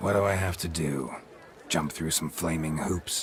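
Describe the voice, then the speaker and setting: In a put-on character voice, a man sounds raspy and very deep, keeping fairly even intonation at a moderate pace over light background noise. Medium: video game. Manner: terse, clipped, dry.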